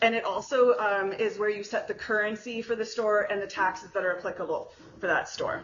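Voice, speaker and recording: Audible room echo surrounds the voice. The delivery is fairly quick. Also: woman, fairly high pitch for a woman, fairly even intonation. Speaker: conference speaker. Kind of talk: technical talk. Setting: conference room with audience, no mic. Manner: fast; loud.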